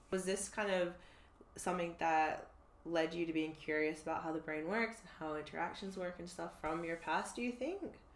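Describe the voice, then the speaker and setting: A woman with an American accent speaks at a fairly low pitch. Audible room echo surrounds her voice. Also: ordinary pitch variation, moderate pace. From United States. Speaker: podcast host. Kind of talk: casual interview chat.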